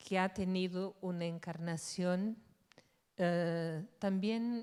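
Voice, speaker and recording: A medium-pitched woman with a Portuguese accent and monotone, flat intonation, on a very clean recording with a silent background. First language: Portuguese (speaking Spanish). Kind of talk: conference talk.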